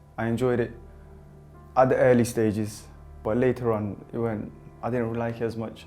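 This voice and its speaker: Over music in the background, a man with a medium pitch talks at a fairly quick pace. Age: 20s. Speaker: prisoner. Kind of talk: interview answer. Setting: prison. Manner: candid, reflective.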